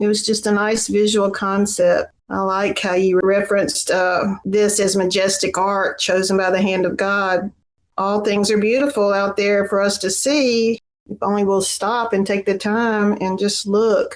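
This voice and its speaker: A woman's medium-pitched voice with a Southern US accent, at a fairly slow pace, in a monotone, flat intonation. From Tennessee. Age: 60s. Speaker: poet. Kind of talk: prepared remarks; casual chat.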